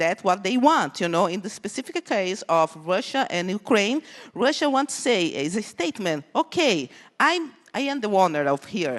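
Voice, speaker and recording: A woman's voice in a Brazilian accent with very wide pitch swings. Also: dry, close sound with no echo, quiet background. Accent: Brazilian Portuguese accent, noticeable. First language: Portuguese. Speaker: conference speaker, cybersecurity researcher. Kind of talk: conference talk. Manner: halting, many fillers.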